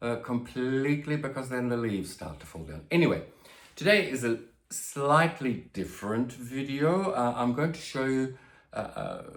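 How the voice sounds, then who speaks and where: The speech moves at a moderate pace with lively intonation and big swings in loudness, and audible room echo surrounds it. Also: man, medium pitch for a man. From Australia. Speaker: plant youtuber. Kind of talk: casual vlog. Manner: hesitant, many fillers.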